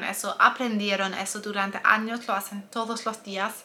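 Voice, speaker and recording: A woman talks at a fairly slow pace in a monotone, flat intonation at a medium pitch. Noticeable background noise runs underneath. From Germany. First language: German (speaking Spanish). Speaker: nutritionist and health coach. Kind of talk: personal testimony and advice video.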